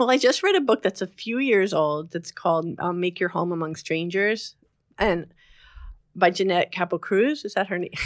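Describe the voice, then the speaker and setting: With an American accent, a woman talks at a moderate pace and medium pitch, with ordinary pitch variation, in a plain, everyday voice that sounds dry and close with no echo. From New Jersey. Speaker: novelist. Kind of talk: interview.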